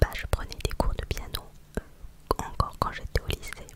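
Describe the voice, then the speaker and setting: This woman is whispering, very slowly. Noticeable background noise is audible throughout. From Normandy, France. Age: 20s. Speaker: ASMR creator. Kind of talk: casual chat. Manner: soft-spoken.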